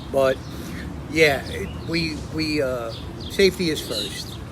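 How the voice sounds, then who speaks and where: A man with an American accent and a fairly high pitch is heard in audible room echo over noticeable background noise. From New Jersey (South Orange, Little Falls), born Brooklyn. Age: 50s. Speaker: electrician, business owner. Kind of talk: live commercial interview.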